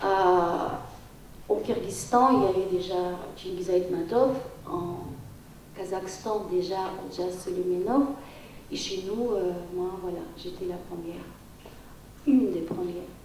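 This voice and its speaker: A woman with a Tajik accent speaks at a very slow pace and a medium pitch, with ordinary pitch variation and long, frequent pauses. Audible room echo and noticeable background noise fill the recording. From Tajikistan. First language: Tajik (speaking French). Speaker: writer and poet. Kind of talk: round table panel talk. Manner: halting.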